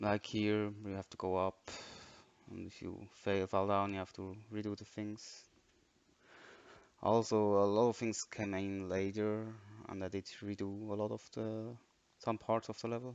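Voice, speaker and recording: With a non-native accent, a man talks at a fairly slow pace in a fairly low, monotone voice, his loudness swinging widely amid long, frequent pauses against a quiet background. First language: not English. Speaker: game modder. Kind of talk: tutorial. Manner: dry; halting.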